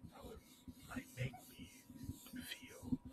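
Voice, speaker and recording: A man is speaking. He whispers. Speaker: ASMR creator. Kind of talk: casual ASMR chit chat. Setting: background noise. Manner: whispered. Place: home room. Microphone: studio mic.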